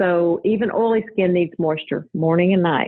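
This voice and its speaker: A woman talks at a fairly slow pace with a Southern US accent. Her pitch varies in an ordinary way. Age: 50s. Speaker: registered nurse and cosmetic business owner. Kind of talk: podcast interview. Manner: calm.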